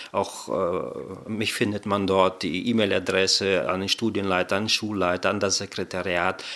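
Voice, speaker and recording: A man's very deep, low voice with a bright, sharp tone and fairly even intonation. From Kazakhstan, raised in Germany from childhood. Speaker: director of studies at a Bible seminary. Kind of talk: interview.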